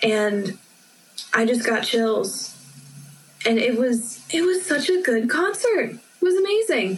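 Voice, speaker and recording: Through noticeable background noise, a woman with an American accent speaks at a very slow pace with long, frequent pauses. Her high-pitched voice makes very wide pitch swings. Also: very even loudness. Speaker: university student. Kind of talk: casual chat. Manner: animated.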